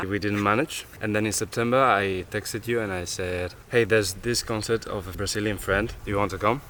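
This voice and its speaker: A man with a plain, everyday voice speaks at a moderate pace with hardly any pauses. His pitch is fairly low and his intonation fairly even. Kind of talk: casual conversation.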